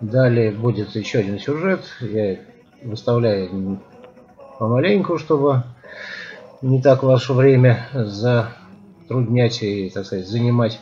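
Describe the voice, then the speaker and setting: Over faint music in the background, the voice moves at a very slow pace with long, frequent pauses and ordinary pitch variation. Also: man. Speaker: cycling vlogger. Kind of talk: casual vlog chat. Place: street. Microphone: phone near.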